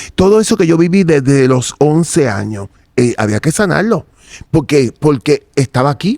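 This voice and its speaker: A man's fairly high voice has a dark, mellow tone and very wide pitch swings, moving at a moderate pace in a dry, close sound with no echo. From Puerto Rico, Santurce. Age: 60s. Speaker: interviewee giving religious testimony. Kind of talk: testimony.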